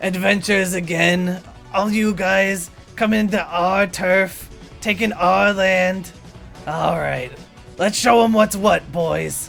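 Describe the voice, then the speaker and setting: Over clear background music, a man uses a high-pitched, put-on character voice at a fairly slow pace. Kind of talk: rough, street-tough banter. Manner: taunting, gruff.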